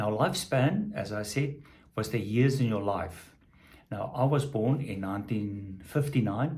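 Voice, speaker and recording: Some room echo is audible as a man at medium pitch talks fairly slowly, somewhat breathy, with lively intonation. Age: 60s. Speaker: vlogger on health and longevity. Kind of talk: casual video diary. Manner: halting, many fillers.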